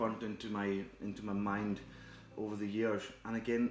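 Amid light background noise and audible room echo, a man with a fairly low pitch talks at a moderate pace with fairly even intonation. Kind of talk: cooking tutorial. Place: kitchen.

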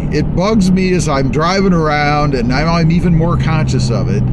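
A man keeps a moderate pace despite loud background noise. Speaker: truck channel host. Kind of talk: casual vlog chat. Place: car. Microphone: phone near.

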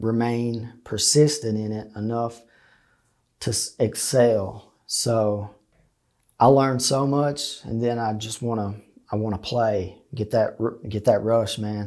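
A man with a dark, mellow tone speaks at a fairly slow pace with fairly even intonation. The background is quiet. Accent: Appalachian. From eastern Kentucky (Leslie County, Appalachia); Kentucky. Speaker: interviewee sharing life story; interviewee. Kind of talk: interview testimony. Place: studio. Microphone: lapel.

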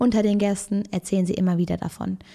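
Her voice sits at a medium pitch, dark and mellow in tone. The recording is very clean and the background silent. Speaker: true crime video host. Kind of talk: casual true crime storytelling to camera. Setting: video recording at home with camera. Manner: chatty, informal.

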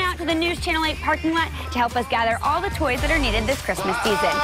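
Over clear music in the background, a woman talks very fast with hardly any pauses, the sound dry with no echo. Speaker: television feature reporter. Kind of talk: TV news field report, upbeat on-camera reporting. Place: street. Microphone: lapel.

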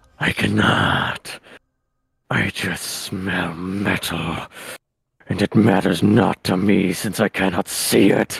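Using a put-on character voice, a raspy man speaks at a very slow pace with a very deep, low pitch and long, frequent pauses.

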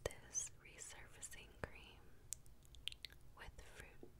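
A woman whispers, leaving long, frequent pauses. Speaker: ASMR content creator. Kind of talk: ASMR unboxing and product talk to camera. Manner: soft-spoken, whispered. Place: home room. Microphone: studio mic.

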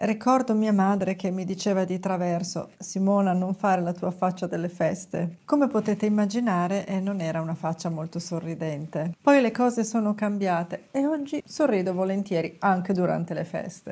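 A woman's somewhat breathy voice, dark and mellow in tone, moves at a moderate pace with hardly any pauses and ordinary pitch variation. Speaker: lifestyle vlogger. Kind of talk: advice talk to camera. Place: studio. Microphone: lapel.

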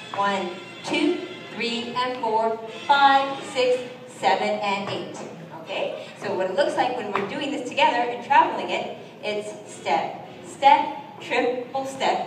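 Music plays in the background as someone speaks at a very slow pace, with audible room echo. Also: woman, high pitch for a woman, lively intonation. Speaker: dance teacher. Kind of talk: tutorial. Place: hall.

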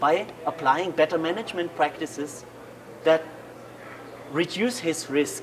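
There is noticeable background noise behind this man. He talks at a fairly slow pace with ordinary pitch variation. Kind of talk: interview explanation. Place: cafe. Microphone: camera far.

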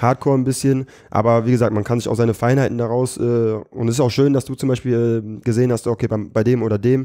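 Against a quiet background, a man with a dark, mellow tone talks at a very fast pace in a monotone, flat intonation. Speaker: comedian and battle rapper; comedian. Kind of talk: podcast interview. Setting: studio. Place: studio.

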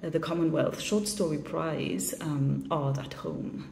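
Over light background noise and audible room echo, a woman speaks with a Mauritian accent and fairly low pitch. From Mauritius. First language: Mauritian Creole. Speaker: short story writer. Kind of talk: video statement about her shortlisted story. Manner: reflective, with frequent fillers.

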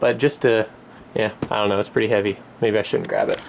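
Light background noise sits behind a man as he talks. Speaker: vlogger. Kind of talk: casual vlog chat. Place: home room. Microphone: phone near.

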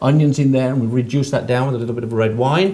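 At a very fast pace, a man talks with ordinary pitch variation. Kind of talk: cooking show tutorial. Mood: cheerful, chatty. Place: kitchen. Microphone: lapel.

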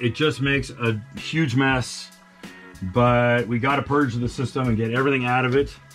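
Faint music plays in the background. A man talks at a moderate pace with fairly even intonation. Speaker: mechanic host. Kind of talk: casual tutorial commentary. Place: garage. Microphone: camera far.

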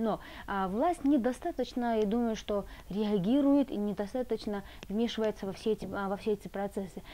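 Dark and mellow in tone, a woman talks at a moderate pace with ordinary pitch variation. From Georgia. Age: young. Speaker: student association chair. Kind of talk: interview. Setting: tea house. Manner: hesitant, filler words. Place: cafe.

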